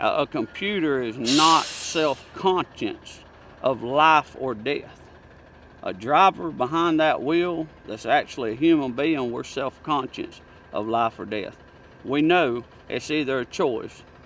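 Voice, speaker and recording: With a rural Southern US accent, a man speaks at a fairly slow pace, his fairly high pitch showing ordinary variation. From Alabama. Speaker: truck driver. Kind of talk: interview answer. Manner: casual, opinionated.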